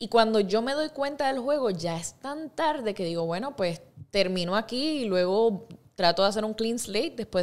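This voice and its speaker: Her pitch medium and her intonation lively, a woman speaks at a moderate pace. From Puerto Rico (Ponce, San Germán); Puerto Rico. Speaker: actress and singer; actress. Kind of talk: interview. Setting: studio. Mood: relaxed, storytelling. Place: studio. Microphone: studio mic.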